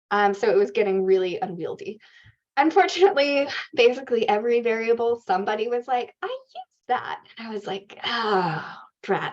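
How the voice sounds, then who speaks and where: A woman's voice with very wide pitch swings and big swings in loudness. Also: fairly high pitch for a woman, fairly quick pace. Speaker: research organization CEO presenting a dataset. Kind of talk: workshop Q&A answer. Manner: fast.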